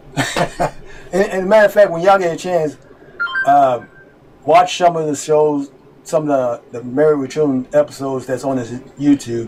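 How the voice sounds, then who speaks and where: With noticeable background noise behind him, a man talks at a moderate pace with a fairly high pitch and ordinary pitch variation. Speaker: reaction video host. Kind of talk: casual chat. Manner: halting; loud.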